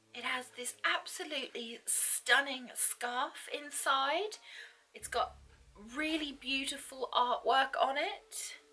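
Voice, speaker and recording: A woman speaks in a raised, projected voice at a very slow pace. Her high pitch shows ordinary variation. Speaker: book unboxing vlogger. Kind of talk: casual talk to camera.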